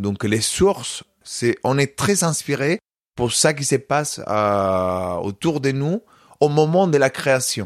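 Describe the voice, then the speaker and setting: A man with a Spanish accent talks at a very slow pace, his medium pitch carried by lively intonation. The sound is dry and close with no echo, a very clean recording with a silent background. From Spain, Córdoba (Andalusia). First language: Spanish (speaking French). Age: 30s. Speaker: flamenco dancer and choreographer. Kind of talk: interview.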